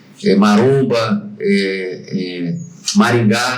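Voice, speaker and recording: There is noticeable background noise and audible room echo. A man talks at a medium pitch with ordinary pitch variation. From Brazil, Barra Mansa (Rio de Janeiro state). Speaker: HR franchisee, former safety trainer. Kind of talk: casual podcast interview. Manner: halting.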